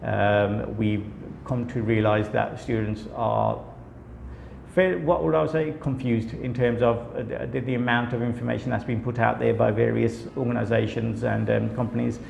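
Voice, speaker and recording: The speaker has a British accent and a moderate pace, and audible room echo is present. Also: man. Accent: British accent, audible in his speech. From UK. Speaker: company director, study visa consultant. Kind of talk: company introduction video. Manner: many filler words, hesitant.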